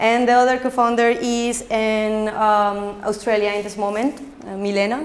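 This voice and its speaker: With a Colombian accent, a woman talks in a room with audible echo. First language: Spanish. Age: 20s. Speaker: social entrepreneur. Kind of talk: conference talk. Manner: fast; halting.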